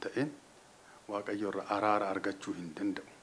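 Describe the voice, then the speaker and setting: The voice belongs to a man. There is light noise in the background. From Ethiopia, Oromia. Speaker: Orthodox church clergyman. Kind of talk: New Year religious message. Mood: calm, earnest, blessing. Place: office. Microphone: studio mic.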